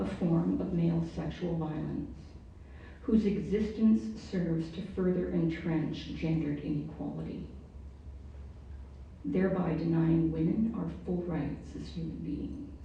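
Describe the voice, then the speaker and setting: Audible room echo surrounds a woman who talks at a fairly slow pace, with long, frequent pauses. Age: 60s. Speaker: panelist, prostitution survivor. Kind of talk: prepared panel speech. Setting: panel event with audience.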